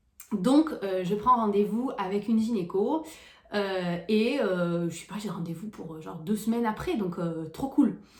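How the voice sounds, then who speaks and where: With lively intonation and big swings in loudness, a woman speaks at medium pitch and a fairly slow pace amid audible room echo and noticeable background noise. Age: 20s. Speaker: vlogger. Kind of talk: personal vlog storytelling. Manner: hesitant, many fillers.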